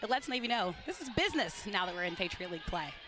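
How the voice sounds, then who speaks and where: With music in the background, a woman speaks at a very fast pace in a medium pitch with ordinary pitch variation. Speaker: college basketball color analyst. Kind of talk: sports broadcast color commentary. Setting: arena broadcast booth.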